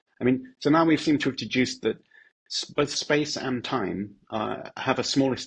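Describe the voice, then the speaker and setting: A man speaks with a British accent and vocal fry. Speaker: philosopher. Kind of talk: casual explanatory interview.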